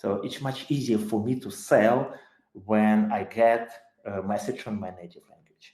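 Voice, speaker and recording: A man with a Ukrainian accent speaks at a fairly slow pace in a medium pitch, with a dark, mellow tone. His intonation is fairly even, but his loudness swings widely. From Ukraine. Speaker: tech company CEO. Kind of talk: webinar talk. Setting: live online webinar. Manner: hesitant, with many fillers.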